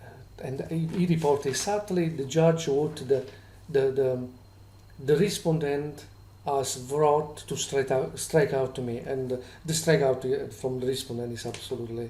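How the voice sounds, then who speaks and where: A man with a non-native accent speaks at a moderate pace in a fairly high, somewhat breathy voice of dark, mellow tone, with ordinary pitch variation and audible room echo. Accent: foreign. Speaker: vlogger with employment tribunal grievance. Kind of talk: complaint video monologue. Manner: halting, many fillers and restarts.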